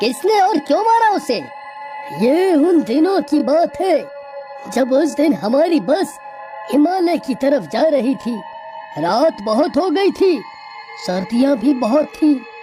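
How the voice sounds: Over clear background music, a cartoonish character voice speaks at a fairly slow pace.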